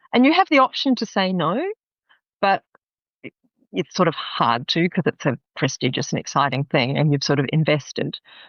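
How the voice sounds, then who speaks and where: A woman with an Australian accent, fairly low in pitch, moderate in pace, with very wide pitch swings. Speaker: business psychologist and executive coach. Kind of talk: interview conversation.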